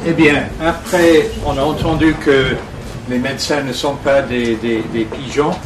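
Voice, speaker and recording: A man with a Scottish accent speaks very slowly at a fairly high pitch with ordinary pitch variation, amid noticeable background noise and audible room echo. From Scotland. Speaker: lawyer. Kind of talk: press conference presentation. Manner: hesitant, many filler sounds.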